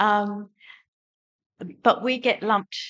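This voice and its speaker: A woman with an Australian accent, bright, sharp tone, fairly even intonation and a very slow pace. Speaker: audience member. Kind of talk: audience question. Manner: halting.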